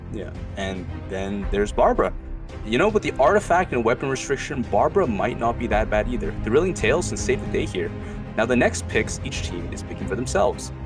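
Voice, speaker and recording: Music plays behind a man whose speech runs at a fairly quick pace. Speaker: game commentator. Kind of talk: esports casting commentary.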